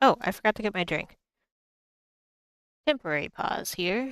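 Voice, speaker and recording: A woman with an American accent talks at a fairly high pitch, with ordinary pitch variation. The sound is dry and close, with no echo. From Boston. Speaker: artist streamer. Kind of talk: live art stream tutorial. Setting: livestream. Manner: casual, rambling.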